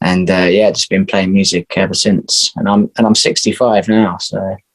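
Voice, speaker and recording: This man speaks in a flat monotone at a moderate pace with an English accent. His voice sits fairly low and sounds dry and close, with no echo. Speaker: musician. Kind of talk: interview.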